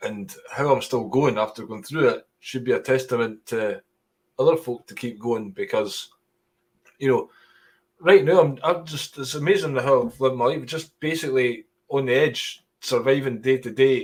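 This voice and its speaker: Speaking at a moderate pace in a Scottish accent, a man uses a medium pitch with ordinary pitch variation. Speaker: stand-up comedian. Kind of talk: interview.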